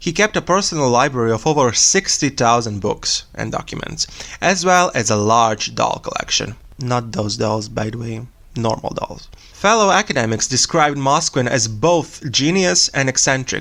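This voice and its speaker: With a Serbian accent, a man speaks at a moderate pace and medium pitch with lively intonation. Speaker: true crime podcast host. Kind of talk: casual storytelling podcast.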